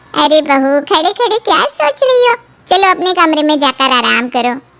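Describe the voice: A woman does a squeaky, cartoonish character voice. Her pitch is high and swings very widely. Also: moderate pace, dry, close sound with no echo.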